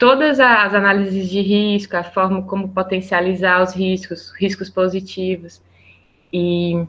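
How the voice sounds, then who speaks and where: At a fairly slow pace, a woman of medium pitch talks with fairly even intonation. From Brazil. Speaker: project manager, biologist and environmental engineer. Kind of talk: interview. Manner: halting, with many repetitions.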